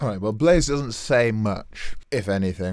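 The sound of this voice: The reading here is done in an unforced voice.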